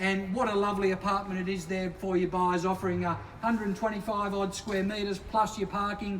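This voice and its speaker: Over noticeable background noise, a man with a high pitch speaks in a monotone, flat way at a moderate pace. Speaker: real estate auctioneer. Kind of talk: property auction patter.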